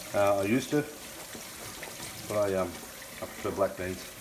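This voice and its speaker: Amid noticeable background noise, a man speaks with fairly even intonation. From Scotland. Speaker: home cooking youtuber. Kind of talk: cooking tutorial. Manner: casual, chatty.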